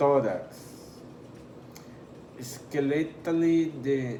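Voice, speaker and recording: Through noticeable background noise and audible room echo, a man with a non-native accent speaks in fairly even intonation. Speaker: anatomy tutor. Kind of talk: tutorial. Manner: slow; halting, stumbles over terms.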